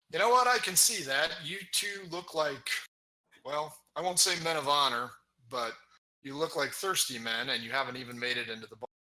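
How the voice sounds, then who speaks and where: Using a put-on character voice, a man speaks raspily at a moderate pace in a fairly high pitch, with lively intonation and big swings in loudness. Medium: actual play. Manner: dry, skeptical.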